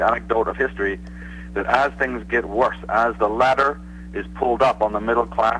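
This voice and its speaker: A man speaks fairly quickly as noticeable background noise carries on around him. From Northern Ireland, Belfast. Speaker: author and researcher. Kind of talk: interview.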